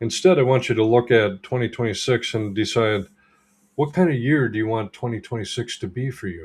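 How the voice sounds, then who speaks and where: Pitch moves with ordinary variation. A somewhat breathy quality runs through the voice. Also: man, medium pitch for a man, fairly quick pace. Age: 60s. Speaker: holistic health practitioner and coach. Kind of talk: livestream talk to viewers. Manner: casual, filler words.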